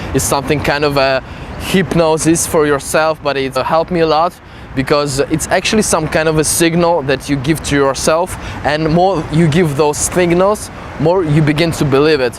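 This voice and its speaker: The speaker has a non-native accent and a moderate pace, with fairly even intonation and very even loudness. Noticeable background noise is present. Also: man, fairly high pitch for a man. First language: not English. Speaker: self-development coach. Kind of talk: casual talk to camera.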